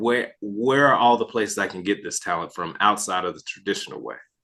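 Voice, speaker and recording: Bright and sharp in tone, a man with an American accent speaks at a medium pitch with ordinary pitch variation. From United States. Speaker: financial advisor, podcast host. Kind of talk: podcast interview.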